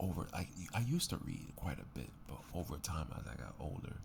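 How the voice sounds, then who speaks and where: A man speaks softly with vocal fry. His pitch is very deep and low. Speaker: ASMR creator. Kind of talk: casual ASMR talk to camera. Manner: soft-spoken.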